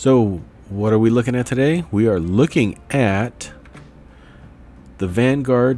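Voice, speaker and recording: A man talks at a medium pitch with lively intonation. Music plays in the background. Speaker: finance YouTuber. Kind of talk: video review. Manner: casual with fillers.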